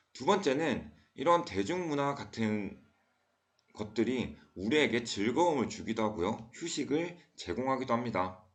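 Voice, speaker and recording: A man speaks at a fairly slow pace and a medium pitch, his pitch swinging very widely. There is audible room echo. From South Korea, Daegu. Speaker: school teacher. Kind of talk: lecture.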